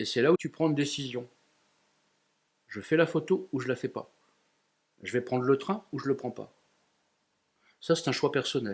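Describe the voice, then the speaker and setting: The man's pitch is fairly high, with ordinary pitch variation. He keeps a moderate pace broken by long, frequent pauses. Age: 60s. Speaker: photographer. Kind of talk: interview.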